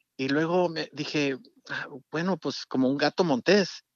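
Normal pitch movement in a man's fairly high voice. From Mexico, Durango sierra. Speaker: music producer. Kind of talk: interview. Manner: halting.

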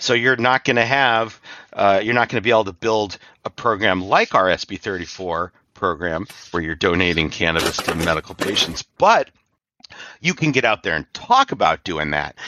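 A man with a West Coast American accent, fairly low in pitch, with lively intonation at a moderate pace. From Hawaii. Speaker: cannabis advocacy nonprofit director. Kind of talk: interview.

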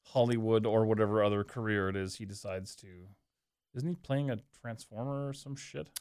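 With an ordinary speaking voice, a man talks at a fairly quick pace, medium in pitch with ordinary pitch variation and big swings in loudness. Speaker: pro wrestling podcast guest. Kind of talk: casual chat. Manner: profane, joking.

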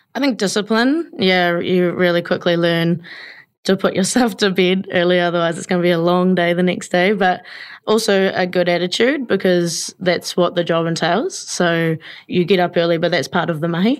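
In a New Zealand accent, a woman with a fairly low voice speaks at a moderate pace with ordinary pitch variation. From New Zealand, Taranaki (New Plymouth). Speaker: small business owner, baker. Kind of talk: casual interview.

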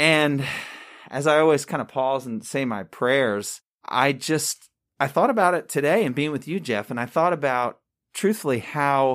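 A man with an American accent has an unremarkable speaking voice, fairly high in pitch. He talks at a moderate pace with lively intonation on a very clean recording with a silent background. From Long Island, New York. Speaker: hospital chaplain. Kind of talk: casual interview.

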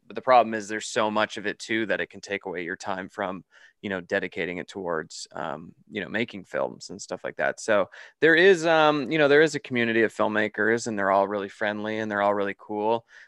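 In a Canadian accent and a normal speaking voice, a man talks at a fairly low pitch and a fairly quick pace, with lively intonation, big swings in loudness and a quiet background. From Canada. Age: 30s. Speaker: horror filmmaker. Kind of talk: casual interview.

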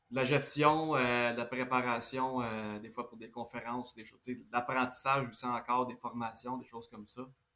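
With a bright, sharp tone, a man talks at a fairly slow pace and medium pitch, keeping his intonation fairly even. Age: 30s. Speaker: building contractor. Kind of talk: interview.

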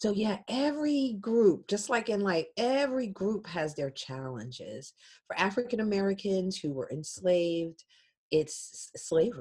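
Over a very clean, silent background, a somewhat breathy woman of medium pitch with a dark, mellow tone speaks at a fairly slow pace with very wide pitch swings. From Philadelphia, US. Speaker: genealogist and technology consultant. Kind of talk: interview.

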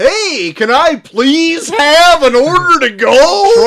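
This man adopts a put-on character voice pitched extremely high. His delivery is very slow. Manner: exaggerated deep announcer voice.

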